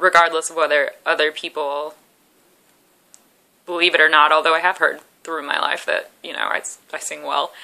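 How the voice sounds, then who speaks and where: A woman's very deep, low voice with a bright, sharp tone, monotone, flat intonation, a moderate pace and long, frequent pauses. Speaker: vlogger in eating disorder recovery. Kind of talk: personal vlog. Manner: halting.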